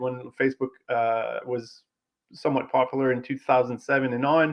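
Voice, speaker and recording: A man with a Quebec accent at a moderate pace. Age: 40s. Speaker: automotive tech entrepreneur. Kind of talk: interview.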